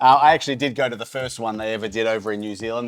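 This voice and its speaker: With an Australian accent, the speaker shows ordinary pitch variation while music plays in the background. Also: man. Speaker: startup investor, co-host of venture news show. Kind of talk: casual chat. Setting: indoor coworking space. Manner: fast.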